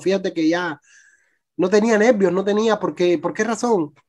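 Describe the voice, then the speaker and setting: With a Cuban accent, the speaker talks at a fairly quick pace over a quiet background. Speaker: youtuber and migrant. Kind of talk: testimony. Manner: halting.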